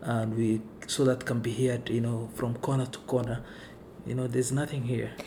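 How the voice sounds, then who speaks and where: Over noticeable background noise, a man speaks at a medium pitch and moderate pace in a monotone, flat way. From Kenya, Garissa. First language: Somali. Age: 20s. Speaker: immigrant, community navigator. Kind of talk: casual interview, personal storytelling. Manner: soft-spoken, gentle.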